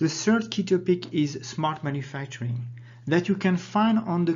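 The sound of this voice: A man's fairly high, slightly mellow voice with lively intonation at a fairly slow pace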